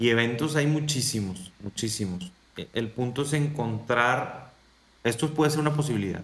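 In an unremarkable speaking voice, a man talks with ordinary pitch variation. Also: medium pitch for a man, moderate pace. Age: 30s. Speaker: motivational speaker and coach. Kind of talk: interview conversation.

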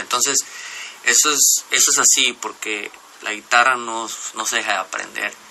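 Fairly quick speech from a man at a medium pitch, ordinary pitch variation, noticeable background noise. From Mexico, Jalisco coast. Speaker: musician. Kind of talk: radio interview. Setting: radio studio. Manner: halting.

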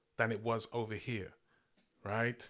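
A man speaks in a London accent. The recording is very clean, with a silent background. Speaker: poet. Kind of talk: casual chat.

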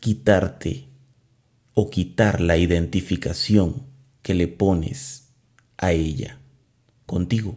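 A man speaks in a very deep, low pitch with vocal fry. His tone is calm, dark and mellow. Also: lively intonation. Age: 30s. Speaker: podcast host. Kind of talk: spiritual talk; guided meditation. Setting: alone in a closed room.

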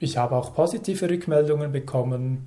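Somewhat breathy, a man speaks in a dark, mellow tone at a fairly slow pace. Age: 30s. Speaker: stutterer telling his story, environmental policy advisor. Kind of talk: interview testimony. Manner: fluent.

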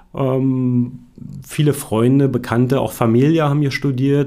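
This is a man speaking. His voice has a medium pitch and a dark, mellow tone. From Brandenburg, Germany. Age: 40s. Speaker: mature student. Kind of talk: interview. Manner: hesitant, many fillers.

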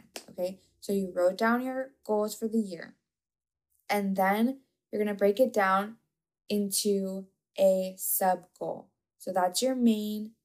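A soft-spoken woman's medium-pitched voice at a very slow pace, with long, frequent pauses and fairly even intonation. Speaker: podcast host and coach. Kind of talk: casual solo monologue. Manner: monotone.

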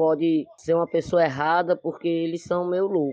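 Delivered at a moderate pace, a man's high-pitched voice stays monotone and flat. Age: 40s. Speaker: party member. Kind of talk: interview.

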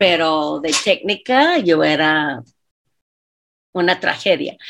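On a very clean recording with a silent background, a woman with an English accent speaks with lively intonation. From US South, Louisiana. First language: English (speaking Spanish). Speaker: dance teacher and choreographer. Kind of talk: casual chat.

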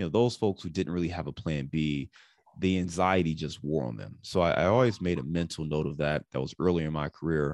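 A man's very deep, low voice at a fairly quick pace, with a dry, close sound, no echo and a quiet background. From Ohio, US Midwest (Cleveland). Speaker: real estate investor and podcaster. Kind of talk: interview.

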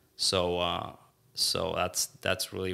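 This man's voice has a very deep, low pitch with vocal fry. Its tone is bright and sharp. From Mexico. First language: Spanish. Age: 20s. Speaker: lawyer. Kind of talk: casual interview.

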